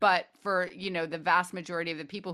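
A woman's fairly low-pitched voice with a bright, sharp tone, an American accent and a fairly quick pace. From Connecticut and Washington DC area. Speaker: playwright and novelist. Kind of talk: interview. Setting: video call.

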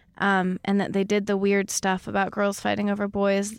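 A woman's voice, dry and close with no echo. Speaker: musician. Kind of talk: casual chat. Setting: studio.

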